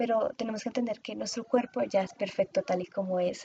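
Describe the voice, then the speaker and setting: A woman's somewhat breathy voice has a dark, mellow tone and a dry, close sound with no echo. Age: 20s. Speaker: podcast host and communications student. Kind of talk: solo podcast monologue.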